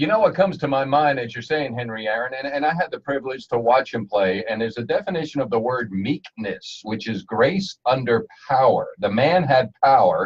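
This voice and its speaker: A man with an ordinary speaking voice talks at a fairly quick pace with hardly any pauses, lively intonation and a medium pitch. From New Jersey. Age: 60s. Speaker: radio host. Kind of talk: radio interview. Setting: studio.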